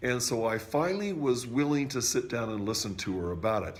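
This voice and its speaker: Speaking at a fairly slow pace and medium pitch, a man is heard with audible room echo. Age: 60s. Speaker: music teacher sharing product testimony. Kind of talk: testimony. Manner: halting, frequent fillers.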